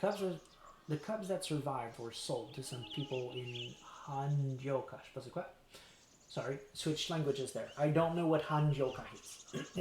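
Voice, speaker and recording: Heard with audible room echo, a man speaks at a fairly high pitch and moderate pace, his pitch varying in an ordinary way. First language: French. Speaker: streamer. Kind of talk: live game stream reading aloud. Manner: animated.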